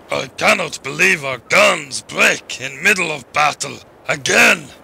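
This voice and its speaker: A raspy, fairly high male voice at a fairly slow pace. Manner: slow, blunt, deadpan.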